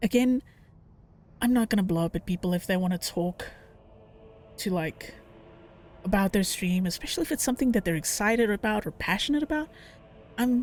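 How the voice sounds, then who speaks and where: Very wide pitch swings mark this very fast speech, recorded dry and close with no echo, with music playing in the background. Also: woman. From South Africa. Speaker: streamer. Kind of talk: casual chat while gaming.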